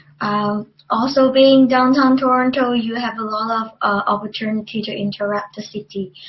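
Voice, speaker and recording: A woman speaks at a fairly slow pace with a Chinese accent, her pitch fairly high. Her voice is somewhat breathy and her intonation fairly even. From China. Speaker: university student. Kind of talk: student testimonial presentation. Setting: webcast. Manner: halting, many fillers.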